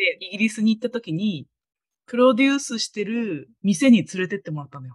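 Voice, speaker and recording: A woman talks fairly quickly in a fairly high, somewhat breathy voice with very wide pitch swings and big swings in loudness. The sound is dry and close, with no echo. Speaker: guest, university friend of host. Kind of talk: casual chat. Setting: online call.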